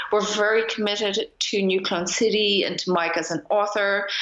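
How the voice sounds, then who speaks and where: At a moderate pace, a woman talks with an Irish accent. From Ireland. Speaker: magazine editor and publisher. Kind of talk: casual chat. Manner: halting, with frequent repetitions.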